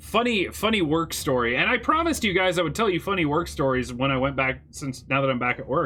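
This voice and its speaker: Hardly pausing, a man at fairly high pitch rushes along at a very fast pace with lively intonation. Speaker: gaming streamer. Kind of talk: live gameplay stream chat. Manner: occasional stutter mid-sentence; casual, conversational.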